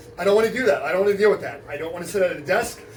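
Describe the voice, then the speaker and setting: Over noticeable background noise, a man speaks in an animated tone at a high pitch. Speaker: special education teacher. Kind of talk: casual interview chat. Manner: loud.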